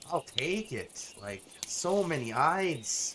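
Over noticeable background noise, a man with a fairly high pitch sounds enthusiastic, his voice making very wide pitch swings. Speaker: gaming YouTuber. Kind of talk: gameplay tutorial. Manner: casual, enthusiastic.

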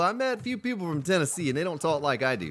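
This is a man talking. He speaks with an American accent. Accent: Southern US, chat says deeply Southern. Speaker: live game streamer. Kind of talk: live gameplay stream, reading chat. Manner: casual, conversational.

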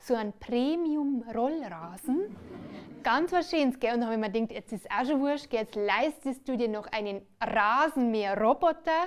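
A moderate pace paired with lively intonation. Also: woman, high pitch for a woman. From Bavaria. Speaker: cabaret performer. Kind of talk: stand-up comedy on stage. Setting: live stage. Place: stage. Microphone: headset.

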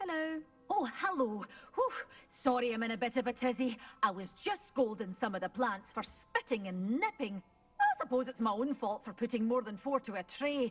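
This woman has a Scottish accent and a high pitch. Faint music plays in the background. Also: moderate pace. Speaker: shopkeeper character in a video game. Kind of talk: scripted character dialogue.

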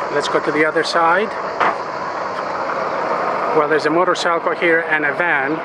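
The sound is dry, with no echo, under loud background noise. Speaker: travel vlogger. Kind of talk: casual travel commentary. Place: boat. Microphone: phone near.

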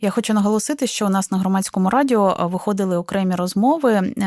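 A woman speaks at a medium pitch with ordinary pitch variation in a normal speaking voice. The recording is very clean, with a silent background. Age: 30s. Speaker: radio host. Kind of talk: radio talk show.

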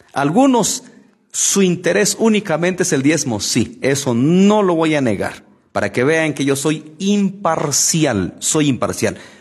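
A man's very slow speech with very wide pitch swings against a quiet background. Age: 40s. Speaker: lay preacher. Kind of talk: Bible study livestream. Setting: live stream. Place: studio. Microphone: studio mic.

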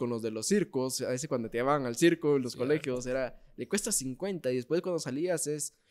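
Against a quiet background, a man with a medium pitch speaks at a fairly quick pace. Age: 20s. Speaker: podcast host. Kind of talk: casual chat. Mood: animated storytelling, humorous. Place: cafe. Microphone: studio mic.

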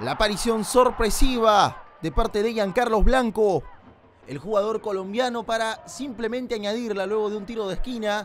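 A man talks at a fairly slow pace. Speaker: football commentator. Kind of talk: highlights voiceover sports commentary.

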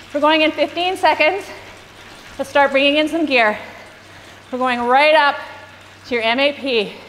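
A woman's high voice, animated in tone, at a fairly slow pace with long, frequent pauses, ordinary pitch variation and noticeable background noise. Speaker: cycling coach. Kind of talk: guided indoor cycling workout. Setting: live online stream to riders. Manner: animated, encouraging, rhythmic cues and countdowns; brisk, clear, authoritative.

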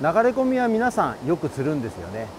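A man talks at a moderate pace, his pitch swinging very widely. The sound is dry with no echo, and light background noise is present. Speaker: expert angler instructor. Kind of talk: tutorial. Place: waterside.

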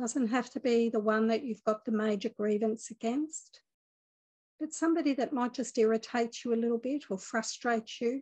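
A fairly high-pitched woman's voice, calm and gentle in tone, with fairly even intonation against a quiet background. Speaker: spiritual teacher leading a meditation. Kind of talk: guided meditation. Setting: online video group session. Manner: calm, gentle, soothing, slow-paced. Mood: calm, gentle, warm. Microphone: phone near.

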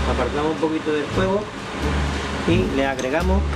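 Loud noise fills the background while a man talks. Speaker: retired hospitality cook. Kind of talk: cooking tutorial. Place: kitchen.

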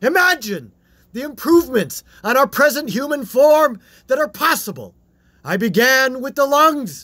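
A man's put-on character voice, extremely high-pitched with big pitch swings, bright and sharp in tone, at a fairly slow pace

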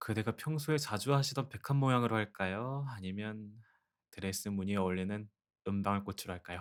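A man with a normal speaking voice, fairly low in pitch, talks at a fairly quick pace with ordinary pitch variation on a very clean recording with a silent background. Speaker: ASMR roleplay voice actor. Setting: close-mic studio recording, speaking to a listener as a wife. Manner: soft-spoken, gentle, tender, coaxing; playful, warm, with soft laughs.

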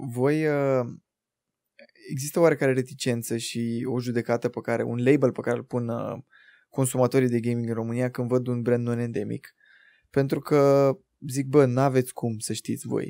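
Over a quiet background, a man with a dark, mellow tone talks at a moderate pace in a monotone, flat intonation. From Romania, Buzău; Romania. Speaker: podcast host. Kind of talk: casual chat. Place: studio. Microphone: studio mic.

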